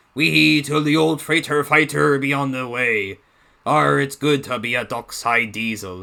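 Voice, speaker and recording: A man puts on a character voice, keeping a moderate pace and a medium pitch. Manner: gruff, playful.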